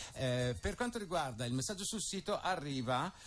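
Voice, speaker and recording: A man's plain, everyday voice at a medium pitch and moderate pace, lively in intonation, over light background noise. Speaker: radio host. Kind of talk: radio interview. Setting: radio studio. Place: studio. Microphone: studio mic.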